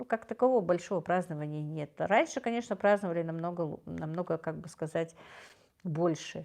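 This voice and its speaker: Against a quiet background, a woman with a fairly low voice talks at a fairly quick pace, her loudness swinging widely while her pitch varies in an ordinary way. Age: 50s. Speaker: livestream host. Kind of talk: livestream chat reading viewer comments. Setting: live stream. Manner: warm, gentle.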